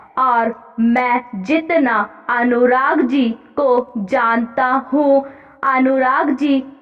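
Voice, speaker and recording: Music plays in the background behind a woman. Her voice is high, with fairly even intonation. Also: long, frequent pauses, very even loudness. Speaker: shorthand dictation reader for stenography exam practice. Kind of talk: exam dictation reading of a parliamentary speech. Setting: exam hall style. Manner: slow, measured, dictation pace with pauses.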